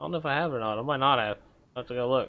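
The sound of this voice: A man speaks at a very fast pace. His pitch is medium, with ordinary pitch variation.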